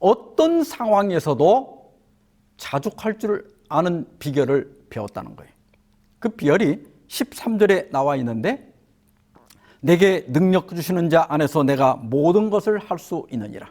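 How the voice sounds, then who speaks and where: Speaking at a very slow pace, a man with a high pitch uses very wide pitch swings and big shifts in loudness. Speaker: pastor. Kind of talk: sermon.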